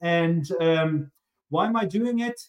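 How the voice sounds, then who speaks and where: A man with a German accent talks at a high pitch with ordinary pitch variation. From East Germany. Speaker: sales executive. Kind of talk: podcast interview.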